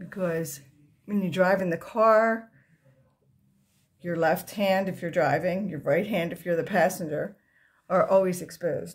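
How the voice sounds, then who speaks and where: A somewhat breathy woman's voice at a medium pitch, with fairly even intonation and long, frequent pauses. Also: fairly slow pace. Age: 60s. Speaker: makeup tutorial vlogger. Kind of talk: tutorial. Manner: casual, conversational.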